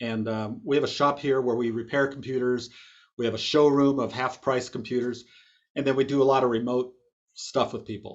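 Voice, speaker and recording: A man talks at a medium pitch and a fairly quick pace. His intonation stays fairly even. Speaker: computer repair business owner and instructor. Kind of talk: webinar presentation. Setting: video call. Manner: fast; casual.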